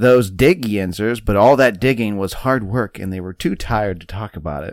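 A man with a fairly low pitch and lively intonation uses a normal speaking voice in a very clean recording with a silent background. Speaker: podcast host. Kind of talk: casual podcast chat, whiskey tasting.

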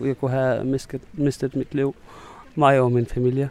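Speaking at a very slow pace, this man has an Arabic accent. His pitch is medium. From Syria. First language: Arabic (speaking Danish). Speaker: refugee. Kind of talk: interview. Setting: outdoors. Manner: halting.

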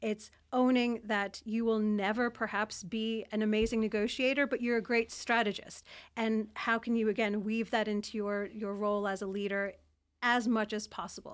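A woman with a New York accent speaks in a fairly high, monotone voice with flat intonation on a very clean recording with a silent background. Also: moderate pace. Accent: New York American. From New York, US. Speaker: former intelligence analyst turned CEO. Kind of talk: interview. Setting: studio, in person.

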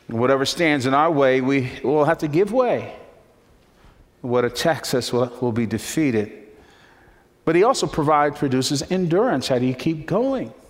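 Pausing long and often, a man with an American accent speaks at a moderate pace in a fairly high voice with ordinary pitch variation. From New Jersey, Newark. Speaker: pastor. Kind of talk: sermon. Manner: animated.

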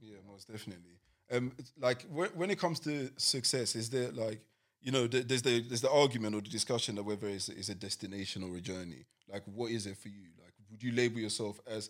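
Over a very clean recording with a silent background, a man talks at a very fast pace in a London accent. His loudness swings widely. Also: medium pitch for a man, ordinary pitch variation. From East London, England. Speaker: podcast host. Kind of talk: casual chat.

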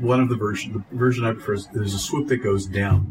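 A man speaks at a fairly quick pace with ordinary pitch variation. Noticeable background noise runs under his voice. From US East Coast, Delaware. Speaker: occult teacher and convention presenter. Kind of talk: interview conversation. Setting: at a convention.

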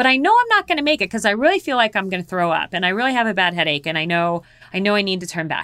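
Delivered very fast in an American accent, the voice has a bright, sharp tone and lively intonation on a very clean recording with a silent background. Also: woman, medium pitch for a woman. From US Southwest, Phoenix, Arizona. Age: 50s. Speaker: polar explorer and mountaineer. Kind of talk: interview, storytelling.

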